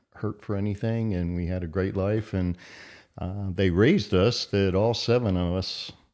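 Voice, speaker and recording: A man with an American accent speaks at a moderate pace with a very deep, low pitch and fairly even intonation, over a quiet background. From Philadelphia suburbs, US. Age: 60s. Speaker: podcast guest. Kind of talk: casual interview.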